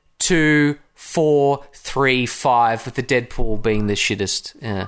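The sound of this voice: Speaking slowly at a medium pitch, a man has a clear, smooth, fairly bright tone and ordinary pitch variation.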